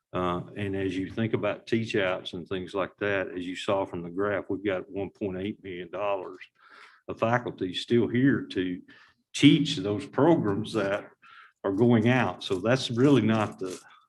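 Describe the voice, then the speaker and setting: A man with an unremarkable speaking voice at a fairly slow pace, ordinary pitch variation, and a very clean recording with a silent background. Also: fairly low pitch for a man. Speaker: university finance administrator. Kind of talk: board meeting presentation.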